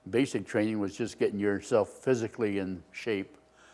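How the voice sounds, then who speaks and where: In an American accent, a man talks at a moderate pace with a fairly low pitch and monotone, flat intonation. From US West Coast, Oakland, California. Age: 90s. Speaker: war veteran. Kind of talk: oral history interview. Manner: halting.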